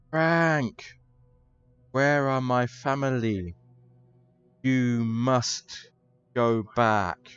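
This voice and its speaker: In a put-on character voice, a man talks at a very slow pace with medium pitch, sounding raspy and strained, with long, frequent pauses. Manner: pleading.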